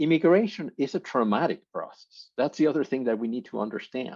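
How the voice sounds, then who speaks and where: A man with a Mexican accent talks at a fairly quick pace, his pitch swinging very widely. The background is quiet. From Mexico. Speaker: workshop presenter. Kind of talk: conference workshop talk.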